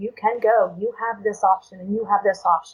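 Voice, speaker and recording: A woman with an unremarkable speaking voice, medium pitch and a moderate pace. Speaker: domestic violence survivor. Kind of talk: interview answer.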